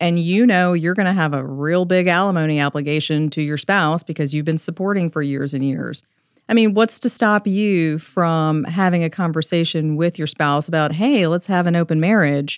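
A woman with an unremarkable speaking voice and a fairly low pitch talks at a moderate pace with ordinary pitch variation and hardly any pauses, against a quiet background. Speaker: family law attorney and podcast host. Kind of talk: podcast discussion.

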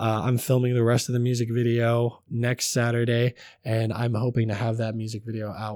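A man's dark, mellow voice at medium pitch, monotone and flat in intonation, at a fairly quick pace. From Russian-American community, church upbringing. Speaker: rapper and comedian. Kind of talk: casual interview chat.

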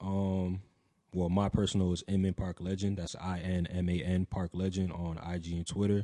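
In an American accent, a man talks at a moderate pace with a very deep, low pitch, a dark, mellow tone and monotone, flat intonation. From New Jersey (Franklin, Somerset County). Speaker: streetwear designer and podcaster. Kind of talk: casual chat.

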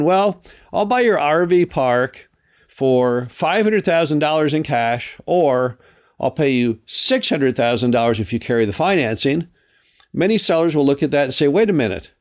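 In a very clean recording with a silent background, a man with an unremarkable speaking voice and a fairly high pitch talks at a moderate pace with lively intonation. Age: 60s. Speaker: podcast host and RV park investor. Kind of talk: solo educational monologue.

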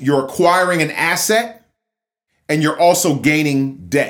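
Here a man has an ordinary speaking voice, fairly high in pitch, with lively intonation. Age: 40s. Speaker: real estate agent and podcast host. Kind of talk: casual monologue.

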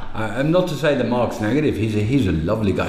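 A man speaks with ordinary pitch variation, with audible room echo and noticeable background noise. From England, Midlands. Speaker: technical diving instructor. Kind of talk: casual chat. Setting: bar. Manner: halting.

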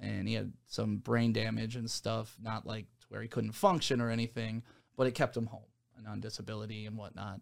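This very clean recording with a silent background has a man with a plain, everyday voice speaking at a medium pitch and fairly quick pace in an American accent. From Detroit area, Michigan. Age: 40s. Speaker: radio host. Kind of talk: casual interview. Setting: studio.

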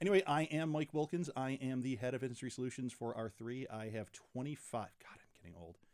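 A man with an American accent uses an ordinary speaking voice at medium pitch. His intonation is lively, with big swings in loudness and hardly any pauses. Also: fairly quick pace. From western New York. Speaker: fintech executive. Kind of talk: casual chat. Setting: studio.

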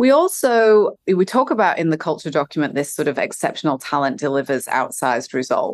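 A woman with a non-native accent talks at a fairly quick pace with hardly any pauses. Her pitch swings very widely against a quiet background. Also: fairly low pitch for a woman. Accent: non-Californian, foreign-sounding. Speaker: company executive, head of human resources. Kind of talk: interview. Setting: remote recording.

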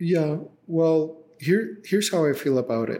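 Slow-paced and dark, mellow in tone, a man speaks with a Spanish accent and ordinary pitch variation. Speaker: tech company CEO. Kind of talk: interview.

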